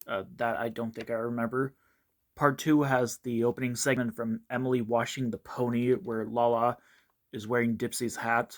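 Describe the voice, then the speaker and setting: At a moderate pace, a man speaks at a medium pitch in a monotone, flat intonation. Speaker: video creator recapping childhood TV memories. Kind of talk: casual monologue recap. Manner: halting, many filler words.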